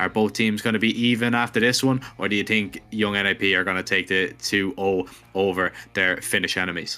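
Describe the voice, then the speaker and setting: Over music in the background, a man with a fairly low pitch speaks at a fairly quick pace, his intonation fairly even and his loudness very even. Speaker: esports caster. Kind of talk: live commentary. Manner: stumbling over words.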